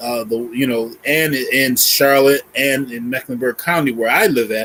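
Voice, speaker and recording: A normal speaking voice with an American accent at a fairly slow pace. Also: man. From Boston, US. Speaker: church elder. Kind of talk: interview.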